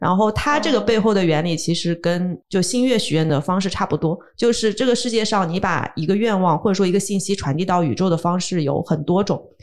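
A woman talks at a fairly quick pace with hardly any pauses, in an unremarkable speaking voice. Her medium pitch shows ordinary pitch variation, and her loudness stays very even. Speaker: hypnotherapist and yoga teacher. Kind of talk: casual chat.

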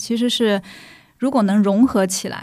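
A woman's plain, everyday voice, fairly high in pitch, at a fairly slow pace with ordinary pitch variation. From Shanghai (old Nanshi district). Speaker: community development worker. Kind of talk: casual chat.

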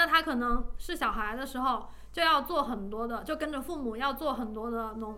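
A woman's high-pitched voice at a moderate pace, with ordinary pitch variation, hardly any pauses, and audible room echo. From Changsha, Hunan, China. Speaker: architect. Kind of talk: casual chat.

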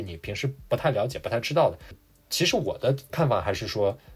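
The recording is very clean with a silent background, and a man speaks fairly quickly in a somewhat breathy voice. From China. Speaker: immigrant working in finance. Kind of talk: casual interview chat. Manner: halting with many fillers.

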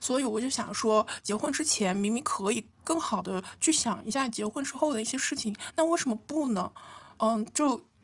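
A woman with a normal speaking voice talks at a moderate pace. Her pitch is fairly high and her intonation lively. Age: 20s. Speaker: podcast co-host. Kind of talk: casual chat.

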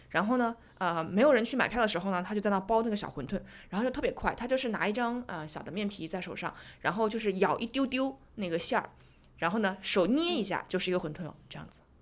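The recording is very clean, with a silent background. A woman of medium pitch talks very fast with lively intonation and big swings in loudness. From Zhejiang, China. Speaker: podcast host. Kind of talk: casual chat.

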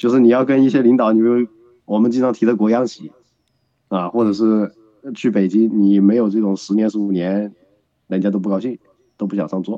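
A man at fairly low pitch with fairly even intonation, a fairly quick pace and long, frequent pauses. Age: 30s. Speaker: guest commentator. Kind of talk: casual chat.

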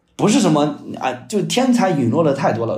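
A fairly quick man's voice with vocal fry and audible room echo. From China, Shandong. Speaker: new media content strategist and author. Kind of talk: podcast interview. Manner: fast, repetitive filler words.

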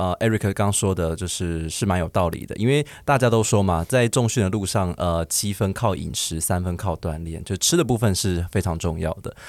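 A man speaks at a very deep, low pitch with hardly any pauses. The recording is very clean, the background silent. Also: ordinary pitch variation, moderate pace. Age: 30s. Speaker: podcast guest. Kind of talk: casual chat.

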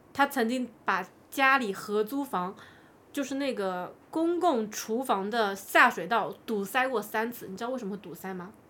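A woman with a fairly high pitch speaks at a fairly slow pace, in a bright, sharp tone with lively intonation. The recording is very clean, with a silent background. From China. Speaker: podcast guest sharing personal stories. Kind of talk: casual storytelling chat.

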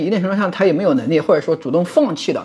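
There is noticeable background noise behind a man's voice. He speaks at a high pitch with very wide pitch swings. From Hunan, Lengshuijiang. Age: 30s. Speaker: university lecturer. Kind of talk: casual chat.

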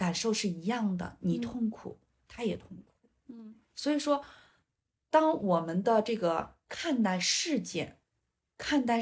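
Fairly slow, somewhat breathy speech from a woman with very wide pitch swings. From northern rural China. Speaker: five-elements psychology counselor. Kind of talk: casual interview chat.

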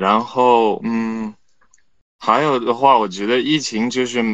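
Speaking fairly slowly at medium pitch with fairly even intonation, a man is heard against a quiet background. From China. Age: young. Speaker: student. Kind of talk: casual chat. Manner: halting, many fillers.

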